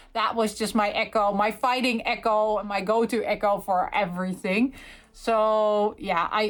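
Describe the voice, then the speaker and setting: The recording is very clean, with a silent background. A woman with a fairly high pitch speaks at a moderate pace in fairly even intonation. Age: 40s. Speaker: gaming YouTuber. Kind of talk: casual unboxing and review chat. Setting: filming from bed. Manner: hesitant, many fillers.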